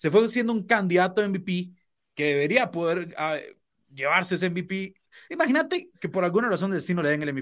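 A man with a high pitch speaks with ordinary pitch variation. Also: moderate pace, very clean recording, silent background. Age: 20s. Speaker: sports co-host. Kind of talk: casual sports talk.

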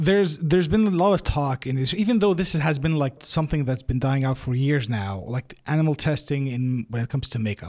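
An ordinary speaking voice with lively intonation, a fairly quick pace and hardly any pauses. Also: man, fairly high pitch for a man. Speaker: podcast host. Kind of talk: casual interview.

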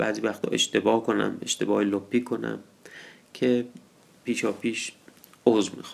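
A man speaks at a fairly slow pace, broken by long, frequent pauses. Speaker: storyteller. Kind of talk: storytelling introduction. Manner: informal, conversational.

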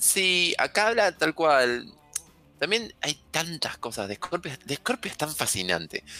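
Speaking in a Rioplatense accent, a man talks at a fairly slow pace with a fairly high pitch. His tone is bright and sharp, and his pitch swings very widely. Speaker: astrologer. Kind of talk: casual chat. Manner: animated.

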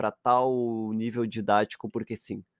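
Over a quiet background, a man with a southern Brazilian accent speaks at a fairly slow pace, the sound dry and close with no echo. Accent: gaucho Brazilian Portuguese. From Rio Grande do Sul, Brazil. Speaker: podcast co-host. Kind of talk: casual chat.

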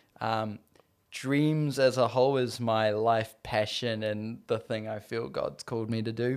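A man with a New Zealand accent speaks at a medium pitch with fairly even intonation. The recording is very clean, with a silent background. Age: 20s. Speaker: filmmaker. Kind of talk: casual chat. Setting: host's living room.

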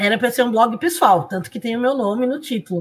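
A woman speaks with a high pitch. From Brazil. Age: 50s. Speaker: blogger and professor. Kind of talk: interview.

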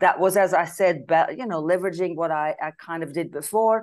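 A woman with a Flemish accent talks at a moderate pace with ordinary pitch variation against a quiet background. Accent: Belgian (Flemish) English. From Belgium. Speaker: business advisor. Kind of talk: interview.

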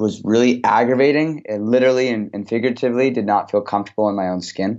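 With an unremarkable speaking voice, a man talks at a fairly quick pace with fairly even intonation. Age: 20s. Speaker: author and motivational speaker. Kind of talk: interview.

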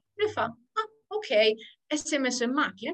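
Her pitch swinging very widely, a woman moves through her words at a fairly quick pace. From Sardinia. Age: 20s. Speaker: pastry worker. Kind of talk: interview testimony. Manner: halting.

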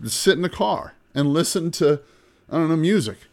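A man talking at a fairly quick pace. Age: 50s. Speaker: podcast host, real estate investor. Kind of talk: solo podcast monologue.

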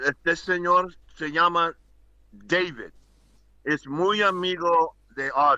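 Speaking very slowly with long, frequent pauses, a man with an English accent keeps a high pitch and fairly even intonation. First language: English (speaking Spanish). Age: 60s. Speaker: former basketball player and coach. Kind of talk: casual chat. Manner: halting.

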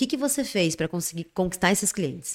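Her intonation moves in a lively way. The woman talks very fast. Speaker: podcast host. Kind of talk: casual interview. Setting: studio.

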